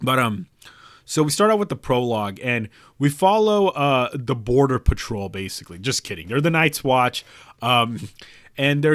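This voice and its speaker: Very wide pitch swings mark a man's fairly slow speech on a very clean recording with a silent background. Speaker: YouTuber reviewing a book series. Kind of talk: casual video commentary. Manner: halting, many fillers and repeats.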